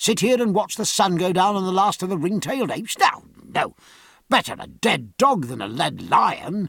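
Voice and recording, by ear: A man's put-on character voice, high pitch for a man, fairly bright in tone with a slightly husky edge and vocal fry, big pitch swings, a moderate pace, and a dry, close sound with no echo.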